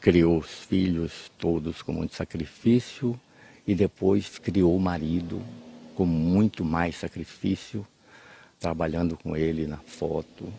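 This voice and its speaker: Very deep and low, a man's voice moves at a very slow pace with fairly even intonation. Long pauses come often. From Bahia, Brazil (Cruz das Almas). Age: 80s+. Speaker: agronomist and writer. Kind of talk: interview. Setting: at home. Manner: halting.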